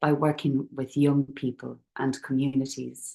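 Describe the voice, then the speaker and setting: A woman's dark, mellow tone with an Irish accent. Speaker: youth and community worker. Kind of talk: presentation. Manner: soft-spoken.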